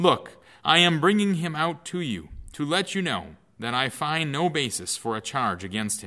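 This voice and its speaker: In a bright, sharp, solemn tone, a man speaks at a moderate pace with very wide pitch swings. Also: very clean recording, silent background. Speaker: pastor reading scripture. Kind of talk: scripture reading. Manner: formal, solemn, measured.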